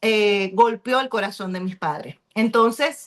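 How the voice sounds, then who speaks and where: This is a plain, everyday voice of a woman with fairly high pitch. She talks at a fairly slow pace with ordinary pitch variation. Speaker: pastor and reading club host. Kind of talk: book club discussion.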